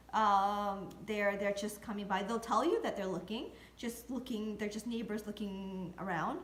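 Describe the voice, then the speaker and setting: The woman's voice sits at a fairly high pitch. There is audible room echo and noticeable background noise. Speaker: real estate video blogger. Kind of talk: tutorial. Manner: hesitant, many fillers.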